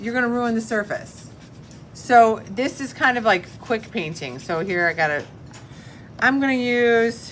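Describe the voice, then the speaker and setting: With light background noise, a woman speaks in an unremarkable speaking voice at a fairly high pitch, a fairly slow pace and lively intonation. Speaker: middle school art teacher; art teacher. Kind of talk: classroom tutorial. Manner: casual. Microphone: phone near.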